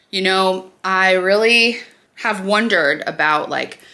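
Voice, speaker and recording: The speaker is a woman whose pitch lands in the middle of her range. She talks in an American accent. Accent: natural twang. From Nebraska, US Midwest. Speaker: beauty vlogger. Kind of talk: casual get-ready-with-me vlog. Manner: chatty, filler-heavy.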